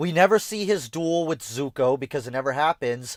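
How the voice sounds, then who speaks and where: A normal speaking voice with lively intonation moves at a moderate pace, captured in a dry, close sound with no echo on a very clean recording with a silent background. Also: man. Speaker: streamer reacting to videos. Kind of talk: casual livestream reaction commentary. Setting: livestream.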